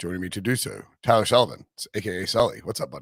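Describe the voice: Putting on a character voice, a man talks at a very fast pace, hoarse and raspy, at a medium pitch.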